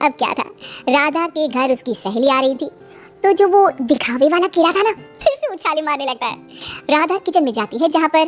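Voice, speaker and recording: A cartoonish character voice with a high pitch moves at a fairly quick pace over faint background music. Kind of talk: kids cartoon narration. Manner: chatty, animated.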